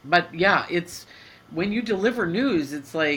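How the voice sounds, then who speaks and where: A woman talks at a moderate pace with ordinary pitch variation. Hers is a normal speaking voice. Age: 50s. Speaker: podcast co-host. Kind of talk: casual chat.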